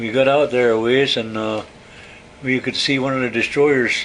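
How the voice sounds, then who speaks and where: Over noticeable background noise, a man talks at a medium pitch and moderate pace with fairly even intonation. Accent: American. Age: 80s+. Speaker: war veteran. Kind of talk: oral history interview. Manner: halting.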